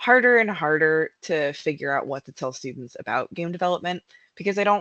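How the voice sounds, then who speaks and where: At a moderate pace, the speaker talks with an American accent against a quiet background. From United States. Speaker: narrative designer. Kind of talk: conference talk.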